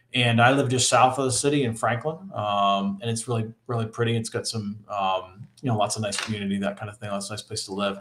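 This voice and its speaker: Speaking at a very fast pace with hardly any pauses, a man of medium pitch talks with a Northeastern US accent. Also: fairly even intonation. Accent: Northeast US. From Rhode Island, US Northeast. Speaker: engineering professor. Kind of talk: casual chat. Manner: halting, many fillers.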